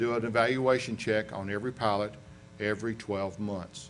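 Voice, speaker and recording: A man with a Southern US accent speaks at a medium pitch with fairly even intonation. Audible room echo surrounds his voice. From US South, western North Carolina. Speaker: aviation accident investigator. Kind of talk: lecture. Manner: conversational.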